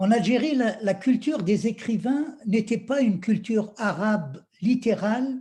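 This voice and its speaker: With a dark, mellow tone and a high pitch, a man speaks at a moderate pace with ordinary pitch variation. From Algeria. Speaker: poet. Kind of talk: reading aloud.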